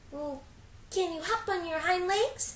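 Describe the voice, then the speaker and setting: A woman's put-on character voice, squeaky and extremely high-pitched, at a fairly slow pace over clear background noise. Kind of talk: bedtime story. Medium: read story. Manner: teasing, lively.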